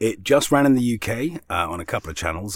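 A man is speaking. His voice has vocal fry. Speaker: voiceover artist. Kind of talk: casual chat.

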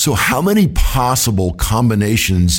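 A man's medium-pitched voice carries vocal fry. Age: 50s. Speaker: financial advisor and podcast host. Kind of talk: casual interview.

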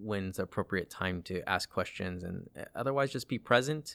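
A man with a plain, everyday voice and an American accent speaks at a fairly low pitch and moderate pace, with ordinary pitch variation, on a very clean recording with a silent background. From Southern California, Palm Springs area. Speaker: OB/GYN resident physician. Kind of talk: interview conversation.

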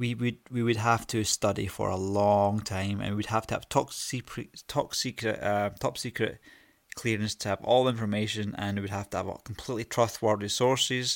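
Recorded very cleanly against a silent background, a man talks at a moderate pace in a fairly low pitch with monotone, flat intonation. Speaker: podcast host. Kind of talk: solo monologue. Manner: rambling, hesitant.

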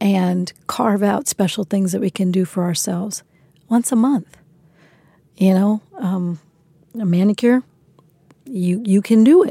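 At a moderate pace, a woman speaks in a medium pitch with a dark, mellow tone and a somewhat breathy quality. The sound is dry and close with no echo, and her pauses are long and frequent. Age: 50s. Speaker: youth development nonprofit leader. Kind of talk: interview. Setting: San Francisco.

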